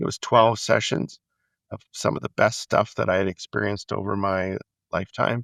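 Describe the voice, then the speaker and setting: A man with a fairly low pitch and a touch of vocal fry talks at a moderate pace with ordinary pitch variation, recorded dry and close with no echo, very clean against a silent background. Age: 60s. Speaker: leadership development executive. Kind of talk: interview. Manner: conversational.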